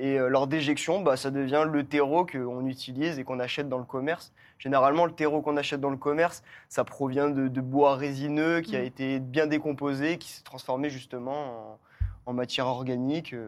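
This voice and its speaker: Over a silent background in a very clean recording, a man with a fairly high voice talks at a fairly quick pace in a monotone, flat way. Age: 20s. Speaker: permaculturist. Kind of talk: casual chat.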